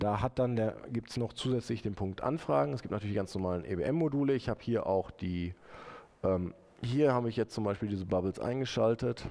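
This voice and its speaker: With a dark, mellow tone and a fairly low pitch, a man talks at a fairly quick pace. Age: 30s. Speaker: web developer presenting his software; conference presenter. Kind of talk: conference talk with live demo. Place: hall.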